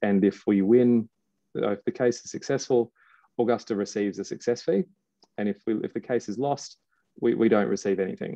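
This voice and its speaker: In a dry, close sound with no echo, a man with an Australian accent and a dark, mellow tone talks at a fairly quick pace and medium pitch, with ordinary pitch variation and long, frequent pauses. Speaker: litigation funder, former lawyer. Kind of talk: webinar presentation. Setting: online webinar. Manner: repetitive, stumbling.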